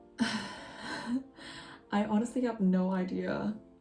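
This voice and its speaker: A woman speaking with music in the background. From Korean-Norwegian. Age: 20s. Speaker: university student. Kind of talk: casual talk to camera.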